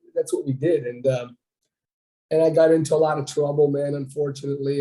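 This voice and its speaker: A man's fairly high, somewhat breathy voice with a dark, mellow tone, flat monotone intonation and a fairly quick pace. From Ontario, Canada (French-speaking town). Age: 60s. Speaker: bodybuilder. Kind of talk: interview.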